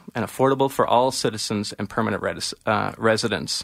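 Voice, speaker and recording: On a very clean recording with a silent background, a man with a Canadian accent talks at a fairly quick pace, at medium pitch, with fairly even intonation. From Ontario, Canada. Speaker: political candidate. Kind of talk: radio interview. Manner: halting.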